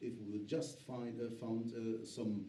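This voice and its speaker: There is noticeable background noise and audible room echo. A man talks at a medium pitch and a fairly slow pace. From Germany. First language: German. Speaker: politician and author. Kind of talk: panel discussion. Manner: halting, many fillers.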